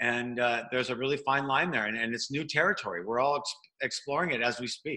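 Very fast speech from a man with a medium pitch and a bright, sharp tone. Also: ordinary pitch variation. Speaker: stadium announcer and host. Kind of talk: casual interview chat.

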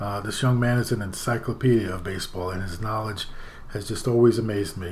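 Against audible room echo, a man with an American accent speaks at a fairly quick pace and medium pitch, somewhat breathy, with fairly even intonation. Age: 60s. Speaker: podcast host, grandfather. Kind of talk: casual chat.

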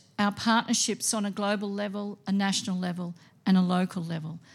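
Somewhat breathy, a woman talks with a medium pitch and fairly even intonation on a very clean recording with a silent background. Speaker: school principal. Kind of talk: open evening presentation. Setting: school hall with audience.

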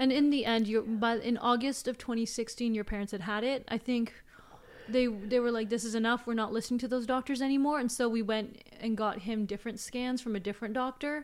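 With an ordinary speaking voice, a woman talks at a fairly quick pace with a fairly high pitch and fairly even intonation. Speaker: guest sharing story. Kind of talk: casual interview storytelling.

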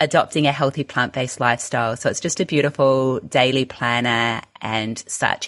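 A woman with an Australian accent, a very deep, low pitch, ordinary pitch variation and a moderate pace. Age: 40s. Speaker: health coach and author. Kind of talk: casual interview. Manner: animated.

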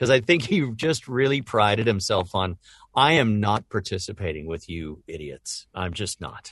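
Against a quiet background, a man with a fairly low pitch talks at a fairly slow pace, his pitch swinging very widely. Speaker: voice actor. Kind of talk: casual interview chat.

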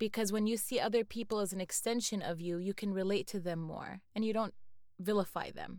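Speaking at a fairly quick pace, a woman uses an unremarkable speaking voice with medium pitch and fairly even intonation. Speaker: podcast co-host. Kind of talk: casual chat.

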